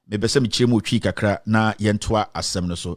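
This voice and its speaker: Speaking very fast with a Ghanaian accent, a man with a fairly low pitch is heard on a very clean recording with a silent background. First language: Twi. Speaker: online commentator, defendant in the case. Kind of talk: casual commentary and reading aloud a ruling. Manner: code-switching between English and Twi; hesitant, many fillers.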